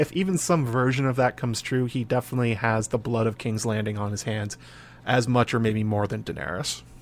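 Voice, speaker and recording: At a fairly quick pace, a man uses a normal speaking voice with a medium pitch and ordinary pitch variation. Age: 30s. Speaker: fantasy book podcaster. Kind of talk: casual chat.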